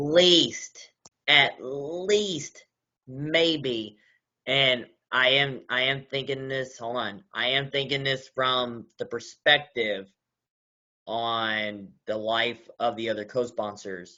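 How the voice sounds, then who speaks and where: Speaking at a very slow pace, a man with a slight Southern US accent uses a medium pitch and ordinary pitch variation. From US South, Kentucky (Louisville). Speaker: meeting chair. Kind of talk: casual meeting discussion.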